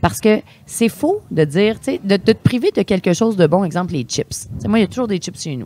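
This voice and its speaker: With vocal fry and a dark, mellow tone, a woman of medium pitch talks at a fairly quick pace with very wide pitch swings in a dry, close sound with no echo. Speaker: sommelier. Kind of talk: casual chat. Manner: animated.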